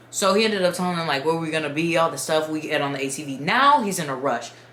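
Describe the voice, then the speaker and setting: A woman at a very fast pace, fairly low in pitch, with lively intonation, noticeable background noise and audible room echo. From Dominican Republic. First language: Spanish. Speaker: YouTuber storyteller. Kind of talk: casual storytime. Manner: animated.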